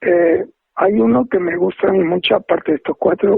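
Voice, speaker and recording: The man's high voice carries lively intonation. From Spain, Andalusia (Seville). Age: 80s+. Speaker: retired professor and haiku translator. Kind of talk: interview.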